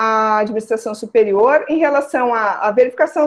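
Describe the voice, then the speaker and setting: Speaking at a moderate pace, a woman has a fairly high pitch and an unremarkable speaking voice. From southern Brazil, Rio Grande do Sul (Santa Maria). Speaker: criminal law scholar, guest lecturer. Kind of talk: online lecture.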